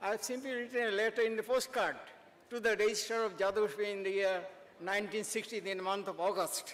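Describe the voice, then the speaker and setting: A man's high-pitched voice at a very fast pace, with fairly even intonation. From India, Tripura. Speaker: retired professor. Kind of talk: ceremonial speech. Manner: halting.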